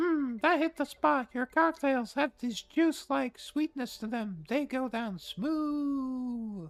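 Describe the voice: A put-on character voice, high in pitch and fairly slow, with faint music in the background.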